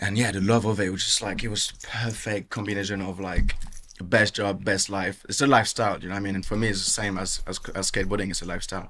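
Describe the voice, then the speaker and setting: A man talks at a very fast pace with a fairly low pitch. His tone is bright and sharp, and his intonation stays monotone and flat. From France (south; Bordeaux, Basque Country, Caribbean roots). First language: French. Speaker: tattoo artist. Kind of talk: casual interview. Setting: tattoo shop. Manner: casual, repetitive fillers.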